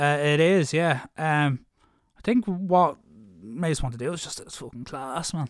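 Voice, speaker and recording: The voice carries an Irish accent at a fairly slow pace. Its loudness swings widely while its pitch varies in an ordinary way. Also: man, fairly high pitch for a man. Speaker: singer in heavy metal bands. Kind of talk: casual interview chat.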